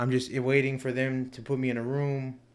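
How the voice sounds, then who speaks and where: Audible room echo surrounds the speaker. He is a man with a medium pitch. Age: 20s. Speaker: stroke survivor. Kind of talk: casual chat. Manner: halting.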